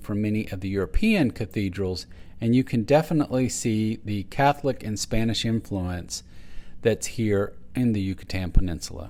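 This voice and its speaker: A man with a Texas accent speaks at medium pitch and a moderate pace with lively intonation. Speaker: travel vlogger. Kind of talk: travel narration.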